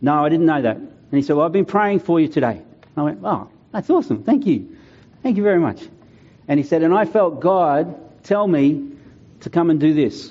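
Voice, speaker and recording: An Australian-accented man at a fairly high pitch, with lively intonation and a moderate pace. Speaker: pastor. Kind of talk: sermon.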